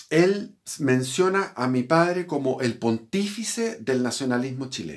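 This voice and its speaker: A man's voice against a quiet background. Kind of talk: personal historical account. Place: home room. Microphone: phone near.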